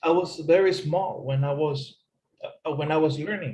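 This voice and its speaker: With a non-native accent, a male speaker talks. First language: not English. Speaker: English teacher. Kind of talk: tutorial.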